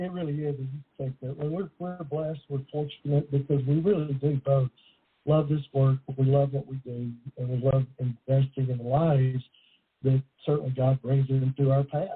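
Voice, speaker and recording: Speaking at a moderate pace with fairly even intonation, a man has an unremarkable speaking voice. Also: fairly high pitch for a man. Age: 60s. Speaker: author and recovery counselor. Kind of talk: interview.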